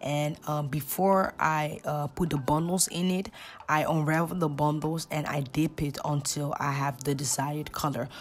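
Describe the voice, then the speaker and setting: Speaking at a fairly slow pace, a woman with a very deep, low voice keeps her intonation fairly even. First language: Dutch. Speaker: hairstylist. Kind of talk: tutorial voiceover. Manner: casual, hesitant with fillers.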